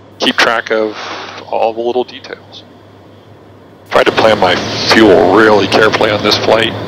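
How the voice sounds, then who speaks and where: Over noticeable background noise, a man with a fairly low pitch is recorded with a dry sound and no echo. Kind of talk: casual vlog commentary. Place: plane. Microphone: headset.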